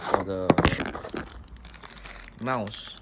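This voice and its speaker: The speech carries a non-native accent. It moves at a fairly slow pace. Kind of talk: casual unboxing talk to camera.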